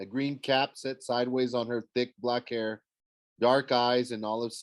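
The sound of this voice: The background is quiet. An unforced reading voice keeps its intonation fairly even.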